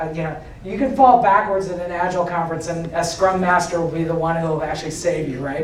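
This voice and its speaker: A man talks at a fairly quick pace with a high pitch. Audible room echo and noticeable background noise surround him. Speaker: agile coach and conference speaker. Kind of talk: conference talk. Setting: stage with audience. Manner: halting.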